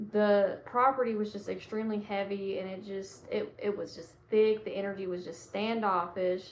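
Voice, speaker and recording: A woman's monotone, flat delivery at medium pitch and moderate pace, in a Southern US accent. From Georgia, US. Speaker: psychic medium. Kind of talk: casual talk to camera.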